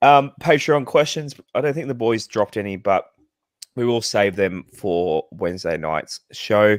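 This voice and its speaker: Low-pitched for a man, this fairly slow Australian-accented speaker uses lively intonation, recorded very cleanly with a silent background and a dry, close sound with no echo. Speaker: podcast host. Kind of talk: casual chat.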